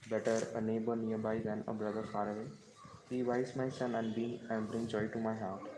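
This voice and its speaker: A man with a medium pitch talks at a fairly quick pace in a flat monotone, with audible room echo and noticeable background noise. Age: 20s. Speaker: devotional speaker. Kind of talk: reading aloud. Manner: halting.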